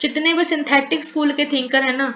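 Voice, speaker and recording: A woman speaks with a Punjabi accent. Noticeable background noise and audible room echo are present. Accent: Punjabi tone in Hindi. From Punjab, India. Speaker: teacher. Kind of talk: lecture. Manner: code-switching Hindi-English.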